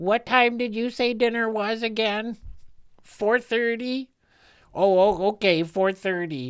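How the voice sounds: A put-on character voice at a fairly high pitch, on a very clean recording with a silent background. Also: fairly slow pace.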